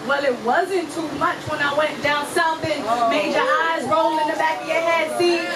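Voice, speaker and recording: With noticeable background noise behind her, a woman talks at a high pitch and moderate pace, with hardly any pauses, very even loudness and ordinary pitch variation. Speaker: spoken word poet. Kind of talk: live spoken word performance. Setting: live venue with audience.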